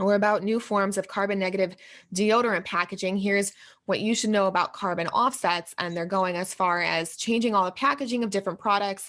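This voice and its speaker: A woman of medium pitch speaks at a fairly quick pace. Her intonation is fairly even, and the background is quiet. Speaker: video blogger. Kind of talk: casual commentary video. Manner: fast.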